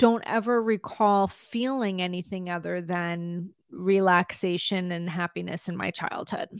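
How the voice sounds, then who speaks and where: A woman with an ordinary speaking voice talks at medium pitch with ordinary pitch variation, on a very clean recording with a silent background. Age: 50s. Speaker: trauma recovery coach. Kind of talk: interview.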